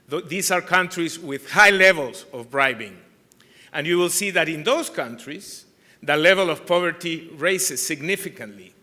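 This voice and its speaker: This man has a high pitch, a bright, sharp tone, ordinary pitch variation and a moderate pace. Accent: Peruvian. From Peru. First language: Spanish. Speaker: anti-corruption organization chair. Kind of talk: conference keynote speech.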